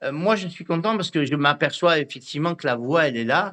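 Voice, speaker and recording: Against a quiet background, a man's high-pitched voice has a bright, sharp tone and lively intonation. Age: 60s. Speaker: radio host. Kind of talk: radio interview. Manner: halting.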